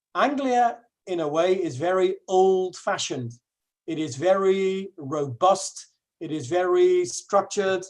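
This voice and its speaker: Someone speaks at a fairly slow pace with a Dutch accent. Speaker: English teacher. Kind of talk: webinar presentation. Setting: online webinar. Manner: halting, many fillers.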